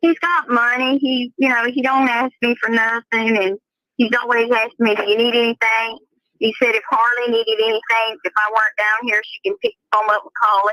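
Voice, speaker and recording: A woman with a Southern accent speaks at a fairly quick pace and fairly high pitch, her intonation fairly even, in a dry, close sound with no echo. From US South. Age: 70s. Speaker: family member of an inmate. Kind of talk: casual chat.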